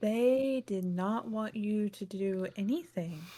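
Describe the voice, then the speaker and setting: In a put-on character voice, a female-sounding speaker goes at a fairly slow pace with a breathy quality and medium pitch for a woman. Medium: actual play.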